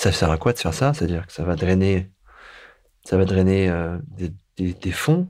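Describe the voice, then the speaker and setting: At a moderate pace, a man speaks in a very deep, low voice over a very clean, silent background. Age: 40s. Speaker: sailor and foundation director. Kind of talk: interview. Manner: halting.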